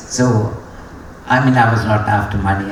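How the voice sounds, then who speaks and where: Over noticeable background noise and audible room echo, a man speaks with a Sri Lankan accent. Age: 60s. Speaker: racing driver. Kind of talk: graduation speech. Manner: hesitant, many fillers.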